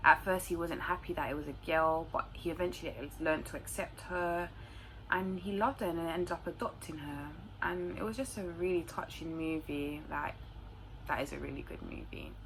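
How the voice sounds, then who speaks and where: Someone with a London accent talks at a fairly quick pace. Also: woman. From London, England. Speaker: YouTuber. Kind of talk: casual Q&A monologue to camera.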